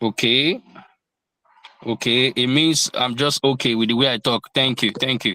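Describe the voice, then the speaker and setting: On a very clean recording against a silent background, a man's speech sounds dry and close, free of any echo. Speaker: crypto trading teacher. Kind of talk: lecture.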